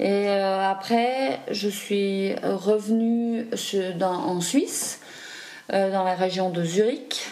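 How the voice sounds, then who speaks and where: Medium pitch and ordinary pitch variation from a woman's voice. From Switzerland, raised partly in Africa. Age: 40s. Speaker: adoptee interviewee. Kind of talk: testimony. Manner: halting.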